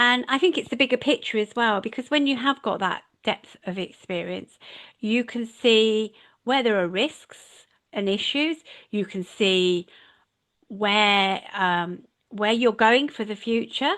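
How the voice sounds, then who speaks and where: In a quiet background, a woman with an ordinary speaking voice talks at a fairly slow pace and fairly high pitch, using ordinary pitch variation. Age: 60s. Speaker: leadership and management mentor. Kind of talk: casual interview chat.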